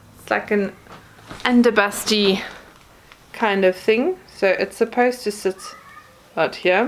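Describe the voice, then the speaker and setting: A woman at a medium pitch, with fairly even intonation, a fairly slow pace, long, frequent pauses and noticeable background noise. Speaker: YouTuber. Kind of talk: unboxing haul video. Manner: casual, chatty with hesitations.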